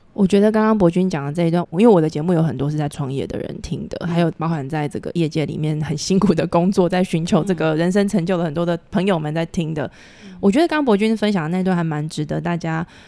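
A woman talks at a very fast pace with hardly any pauses, her fairly low voice dark and mellow in tone, with ordinary pitch variation. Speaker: podcast host. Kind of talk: interview.

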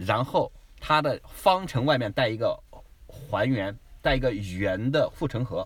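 At a fairly slow pace, a man speaks at medium pitch, somewhat breathy, with lively intonation. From mainland China. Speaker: immigrant travel guest. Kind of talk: casual chat.

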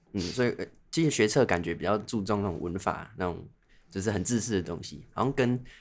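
A man has a plain, everyday voice at a fairly low pitch. He talks at a fairly quick pace. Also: ordinary pitch variation. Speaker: medical student and podcast co-host. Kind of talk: casual chat.

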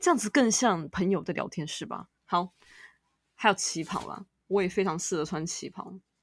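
A woman speaks at a moderate pace with a medium pitch and ordinary pitch variation, in an unremarkable speaking voice. Her loudness swings widely, and the recording is very clean with a silent background. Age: 30s. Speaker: podcast host. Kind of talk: casual chat.

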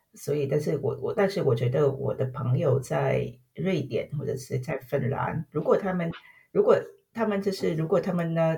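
A woman with a Vietnamese accent speaks at a moderate pace in a dark, mellow, somewhat breathy tone with ordinary pitch variation. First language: Vietnamese (speaking Chinese). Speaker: corporate tax specialist. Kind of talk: interview. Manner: halting, many fillers and repetitions.

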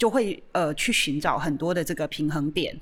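Here a woman speaks with a very deep, low pitch. Her pace is moderate. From Taiwan, Chiayi. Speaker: art museum director hosting a radio show. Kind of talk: hosted radio discussion. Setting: radio studio. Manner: hesitant, many fillers.

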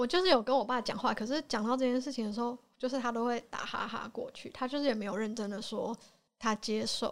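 Her pitch high and its variation ordinary, a woman talks at a very fast pace. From Taiwan. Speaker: podcast guest. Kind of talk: casual chat.

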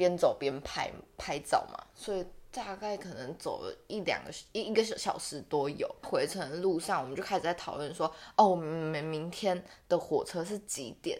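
The speaker has a Taiwanese accent and lively intonation. The pace is moderate. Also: woman. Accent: Taiwanese Mandarin. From Taiwan, Taichung. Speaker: podcast co-host. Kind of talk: casual chat.

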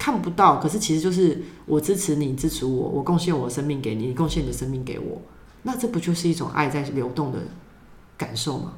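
Speaking at a fairly quick pace, a woman with a Taiwanese accent has lively intonation and a very deep, low pitch. Audible room echo surrounds her voice. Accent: Taiwanese Mandarin. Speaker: YouTuber and workshop leader. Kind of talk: casual interview.

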